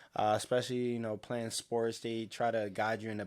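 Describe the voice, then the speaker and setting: A man with an American accent speaks at a fairly quick pace and a fairly low pitch. The recording is very clean, with a silent background. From Baltimore, Maryland. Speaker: podcast co-host. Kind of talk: casual chat.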